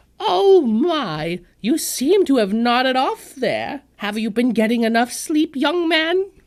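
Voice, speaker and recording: A put-on character voice at a fairly slow pace, with very wide pitch swings and hardly any pauses. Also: female-sounding voice, high pitch for a woman. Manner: doddering, sweet, fussy.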